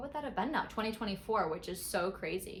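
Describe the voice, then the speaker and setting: A woman with an American accent, fairly high-pitched, with lively intonation, amid audible room echo and noticeable background noise. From Western New York, rural. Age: 20s. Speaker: vlogger. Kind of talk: casual cooking vlog.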